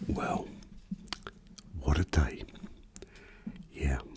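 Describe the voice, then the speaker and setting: Whispering from a man at a very slow pace, with noticeable background noise. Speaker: motorcyclist. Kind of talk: ASMR casual talk. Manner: whispered.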